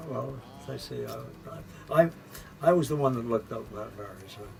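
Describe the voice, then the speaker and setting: Noticeable background noise accompanies a man at medium pitch whose voice swings very widely in pitch. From Winnipeg, Canada. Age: 80s+. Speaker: former vaudeville performer. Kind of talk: interview answer. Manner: hesitant, halting.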